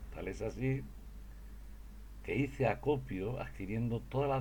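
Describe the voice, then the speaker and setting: A man's voice with vocal fry and audible room echo. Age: 70s. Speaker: religious speaker. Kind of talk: testimony. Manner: halting.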